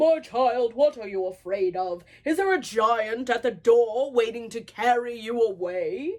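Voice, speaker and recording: A woman's put-on character voice, fairly high in pitch with lively intonation, at a moderate pace with hardly any pauses. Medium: read story.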